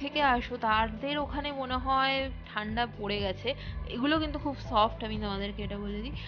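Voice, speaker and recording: Clear music plays behind a woman whose high voice shows ordinary pitch variation. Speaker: shopping vlogger. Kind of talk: casual vlog chat. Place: market. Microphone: phone near.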